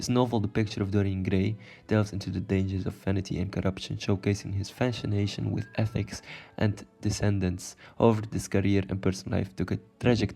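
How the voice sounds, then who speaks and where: On a very clean recording with a silent background, a man with a non-native accent speaks at a fairly quick pace, with a dark, mellow tone, fairly low pitch and monotone, flat intonation. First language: not English. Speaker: YouTuber explaining literature. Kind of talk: video explainer, partly read. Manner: halting, self-correcting; casual.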